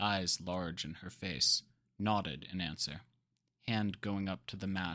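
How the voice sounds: The voice reads naturally. Nothing much stirs in the quiet background.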